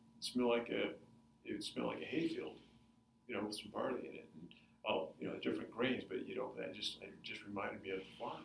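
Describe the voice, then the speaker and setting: At a fairly quick pace, a man talks in a space with audible room echo. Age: 50s. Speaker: food company founder and runner. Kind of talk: interview.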